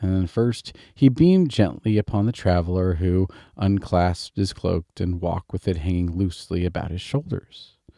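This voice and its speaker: With an American accent, a man speaks in a very deep, low voice with a dark, mellow tone that is calm and soothing. The sound is dry and close, with no echo. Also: very clean recording, silent background. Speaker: storyteller. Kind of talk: bedtime story reading. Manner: calm, soothing.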